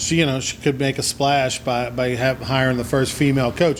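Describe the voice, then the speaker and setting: Over noticeable background noise, a man talks at a fairly quick pace and medium pitch. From Louisiana. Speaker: sports talk show host. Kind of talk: sports talk interview.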